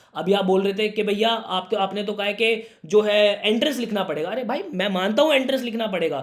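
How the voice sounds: A man talks at a high pitch and a fairly quick pace. His pitch variation is ordinary.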